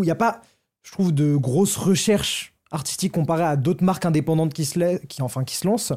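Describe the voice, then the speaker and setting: Speaking at a fairly quick pace, a man with a fairly high voice, a dark, mellow tone and ordinary pitch variation is heard on a very clean recording with a silent background. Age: 20s. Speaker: TikToker and fashion retail worker. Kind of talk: casual chat.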